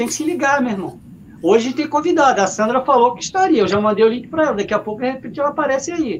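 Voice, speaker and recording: This man talks at a very fast pace in an extremely high pitch, his intonation lively. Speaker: sports web show host. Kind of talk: casual live stream chat. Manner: halting, repeats words.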